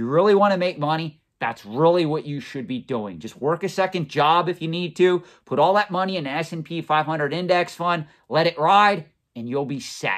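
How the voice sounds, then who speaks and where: A man at a moderate pace, high in pitch with ordinary pitch variation and big swings in loudness, against a quiet background. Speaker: collectibles finance channel host. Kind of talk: commentary. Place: office.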